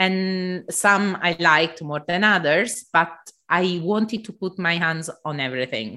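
Speaking at a fairly slow pace with an Italian accent, a woman uses lively intonation and a bright, sharp tone on a very clean recording with a silent background. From southern Italy. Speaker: embroidery artist and podcaster. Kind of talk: interview conversation. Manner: halting, with frequent fillers.

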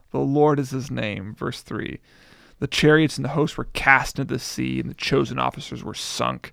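The recording is very clean, with a silent background. A man talks at a moderate pace. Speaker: preacher and blogger. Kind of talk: casual chat about scripture. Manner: soft-spoken.

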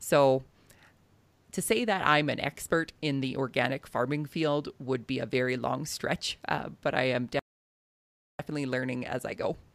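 A woman with a western Canadian accent speaks in a very deep, low voice with ordinary pitch variation. Her pace is fairly slow, with long, frequent pauses. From southern Alberta, Canada. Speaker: farmer and podcaster. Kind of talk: interview.

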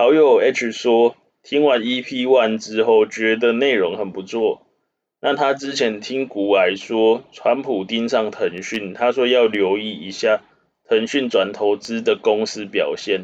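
The man's voice sits at a medium pitch with fairly even intonation. He talks at a very slow pace. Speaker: finance news podcast host. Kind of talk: casual chat. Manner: halting when off script.

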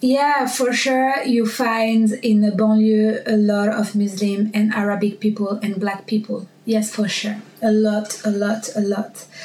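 Speaking in a French accent at a fairly slow pace, a woman with a fairly high pitch keeps a monotone, flat intonation and very even loudness, with hardly any pauses, over noticeable background noise. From Paris, France. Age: 20s. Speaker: bank worker. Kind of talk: casual interview chat. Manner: aggressive when she talks.

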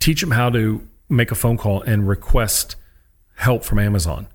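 A man with a medium-pitched, somewhat breathy voice and lively intonation speaks on a very clean recording with a silent background. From US, military family moving around. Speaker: sports psychologist, former college baseball pitcher. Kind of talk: interview conversation. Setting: studio.

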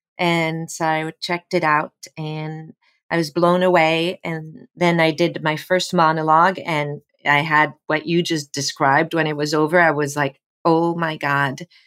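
Music plays in the background as a woman speaks at a fairly slow pace. Her very deep, low pitch stays monotone and flat. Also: dry, close sound with no echo. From France. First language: French. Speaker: actor. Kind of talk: casual chat.

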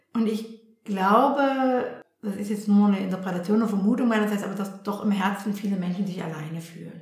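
Audible room echo surrounds a woman talking at a fairly quick pace. Her medium-pitched voice keeps a fairly even intonation. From Germany. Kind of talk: interview. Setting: at home in her flat.

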